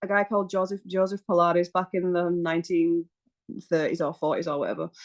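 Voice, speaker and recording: The voice has a British accent. The background is quiet, and the sound is dry and close, with no echo. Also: woman. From UK. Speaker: massage therapist and Pilates instructor. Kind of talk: podcast interview. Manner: casual, chatty with fillers.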